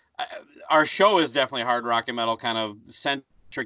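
A man speaks at a medium pitch with a bright, sharp tone. His pitch variation is ordinary, and the sound is dry and close with no echo. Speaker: podcaster. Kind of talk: casual chat.

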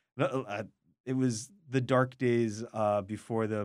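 In a very clean recording with a silent background, a man talks at a moderate pace with fairly even intonation in a plain, everyday voice. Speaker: radio food show co-host. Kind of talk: casual radio chat. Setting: studio.

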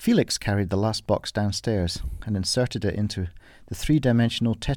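The passage is read aloud in a natural voice.

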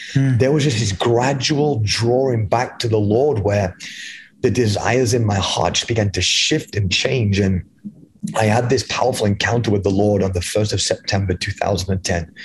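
A man speaks in a British accent at a fairly low pitch, with ordinary pitch variation. His pace is moderate and his loudness very even. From England. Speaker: evangelist. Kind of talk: interview, testimony.

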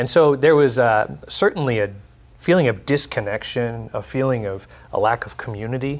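A man with an American accent in a plain, everyday voice, medium in pitch, with ordinary pitch variation, big swings in loudness and a moderate pace. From Texas. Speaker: nonprofit executive. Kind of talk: panel discussion. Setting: studio.

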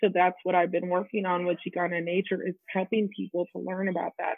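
A woman with an American accent, medium pitch, a monotone, flat intonation and a moderate pace. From Texas. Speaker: camp activities director. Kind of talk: panel discussion.

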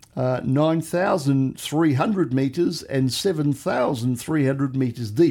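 A man with an Australian accent, fairly high in pitch, dark and mellow in tone, with ordinary pitch variation. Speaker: podcast co-host. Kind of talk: casual chat. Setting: remote studio together in person.

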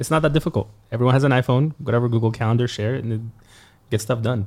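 This man's pitch moves in an ordinary way. His voice has a somewhat breathy quality. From Egypt. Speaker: podcast host. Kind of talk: casual chat.

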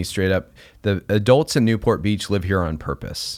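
A plain, everyday voice at a moderate pace with ordinary pitch variation, in a very clean recording with a silent background. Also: man. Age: 40s. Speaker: educator and parenting author. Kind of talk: casual interview chat.

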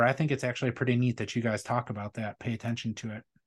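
A man speaks at a very fast pace. He has an Upper Midwest accent. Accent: Upper Midwest American. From Wisconsin. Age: 40s. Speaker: beard products business owner, military veteran. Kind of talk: casual chat.

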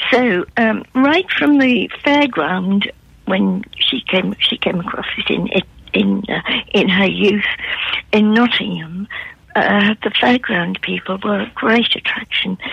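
A woman talks at a very slow pace with noticeable background noise around her. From northern England, Newcastle upon Tyne. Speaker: art historian and author. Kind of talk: radio interview. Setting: phone call.

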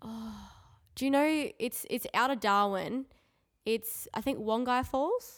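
A woman's fairly high voice at a slow pace, with ordinary pitch variation, in a very clean recording with a silent background

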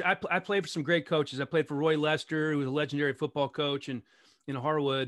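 Against a quiet background with a dry, close sound with no echo, a man with an ordinary speaking voice and fairly high pitch talks at a fairly quick pace. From Maryland, DC area (Montgomery County). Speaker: sports broadcaster. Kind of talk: casual interview chat.

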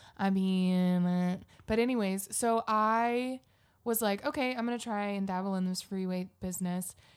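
In a very clean recording with a silent background, a woman with an American accent has an unremarkable speaking voice, a medium pitch and fairly even intonation. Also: fairly slow pace. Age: young. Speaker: podcast co-host. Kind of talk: casual chat.

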